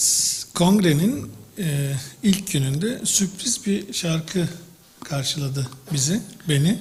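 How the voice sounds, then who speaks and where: A man with a Turkish accent and a high pitch speaks at a fairly slow pace with lively intonation and long, frequent pauses, amid audible room echo and noticeable background noise. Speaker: professor of drama education. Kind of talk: lecture. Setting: congress with audience.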